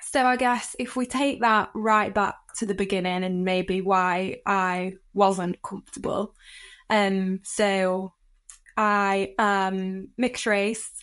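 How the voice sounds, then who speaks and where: Against a quiet background, a woman with a northern English accent speaks at a very slow pace. Her pitch is medium and her intonation fairly even. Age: 20s. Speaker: inclusion leader. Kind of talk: podcast interview.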